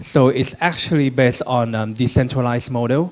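With a Thai accent, a man talks in a fairly even intonation. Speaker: logistics startup CEO. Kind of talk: panel talk with slides. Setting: conference room with audience. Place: hall. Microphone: handheld.

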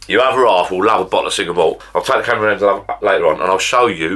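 A man's very fast speech over a quiet background. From Essex, England; England. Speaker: YouTuber. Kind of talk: casual vlog to camera. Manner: chatty, rambling. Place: home room. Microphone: camera far.

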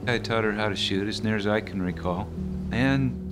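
Clear music sounds in the background while a man speaks at a moderate pace. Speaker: hunter. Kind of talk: interview answer. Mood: calm, reflective. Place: home room.

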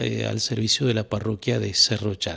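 A man talks over a quiet background. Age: 60s. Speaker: bishop. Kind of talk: interview. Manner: hesitant with frequent fillers. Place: home room. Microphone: handheld.

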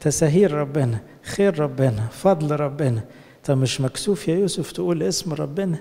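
A man with an Egyptian accent speaks fairly slowly with lively intonation. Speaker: priest. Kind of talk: sermon. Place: church. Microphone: handheld.

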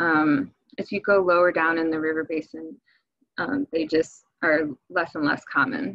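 Over a quiet background, a woman with a plain, everyday voice talks at a moderate pace in a fairly low pitch, with ordinary pitch variation and a dry sound with no echo. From Michigan. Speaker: fisheries biologist; presenter. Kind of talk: webinar presentation. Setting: video call. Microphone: webcam.

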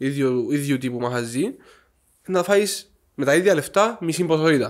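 Over a quiet background, a man with a Cypriot accent speaks at a fairly high pitch. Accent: Cypriot Greek. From Cyprus. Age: 20s. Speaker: chef, former cooking show contestant; podcast guest. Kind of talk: casual interview. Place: home room. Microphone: studio mic.

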